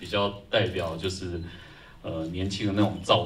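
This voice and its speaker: Very deep, low male voice, somewhat breathy, at a moderate pace with fairly even intonation over light background noise. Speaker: film composer. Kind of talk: post-screening Q&A. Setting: stage with audience. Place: hall.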